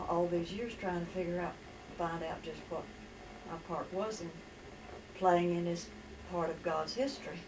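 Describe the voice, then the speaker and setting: Amid noticeable background noise and audible room echo, a woman with an Appalachian accent speaks at a moderate pace, her pitch fairly low and her intonation fairly even. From West Virginia. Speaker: storyteller recounting her life. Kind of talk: life story testimony.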